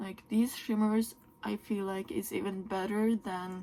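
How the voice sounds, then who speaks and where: A woman speaks very slowly. She has a Norwegian accent. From Norway. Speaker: beauty YouTuber. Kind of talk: makeup tutorial and product review. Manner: animated.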